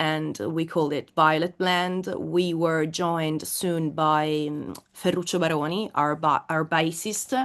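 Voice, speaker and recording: In an Italian accent, a woman with a fairly low pitch speaks very slowly with monotone, flat intonation. The background is quiet. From Italy, Florence. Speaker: metal singer. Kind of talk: interview. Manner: halting.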